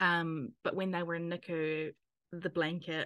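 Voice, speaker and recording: A woman speaks very slowly with a New Zealand accent. Her pitch sits fairly low. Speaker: podcast host, NICU parent. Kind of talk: casual interview; scripted narration.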